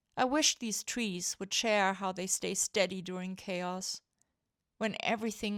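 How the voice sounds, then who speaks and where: A woman with a plain, everyday voice speaks fairly slowly at a medium pitch with fairly even intonation, in a very clean recording with a silent background and a dry, close sound with no echo. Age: 50s. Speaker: vlogger. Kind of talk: reflective personal documentary narration. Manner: quiet, reflective.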